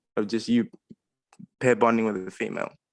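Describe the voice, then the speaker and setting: This is a man with an Australian accent. He speaks at a fairly quick pace. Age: 20s. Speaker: caller sharing personal experience. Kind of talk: personal testimony on a group call.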